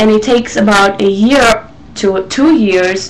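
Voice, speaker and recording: With an Israeli accent, a woman speaks at a very slow pace and medium pitch over noticeable background noise. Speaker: vlogger. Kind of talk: casual talk to camera. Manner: hesitant, many fillers.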